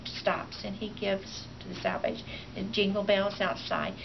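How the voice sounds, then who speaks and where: There is noticeable background noise as a woman speaks at a moderate pace. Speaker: grandmother raising her grandson. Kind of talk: interview answer. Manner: hesitant, halting.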